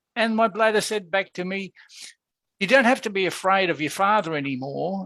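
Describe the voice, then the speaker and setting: A man speaks in a raised, projected voice that is high for a man, with a bright, sharp tone, a moderate pace and ordinary pitch variation. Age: 60s. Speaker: therapy practitioner. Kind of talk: interview. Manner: halting.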